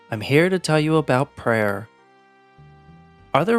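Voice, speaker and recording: Over music in the background, a man with an American accent speaks with lively intonation. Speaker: English teacher. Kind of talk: reading game character dialogue aloud.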